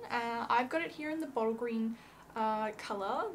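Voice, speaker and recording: A woman with an Australian accent, fairly high pitch, ordinary pitch variation and a moderate pace. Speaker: fabric shop presenter. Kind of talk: product tutorial. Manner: casual, hesitant with many fillers.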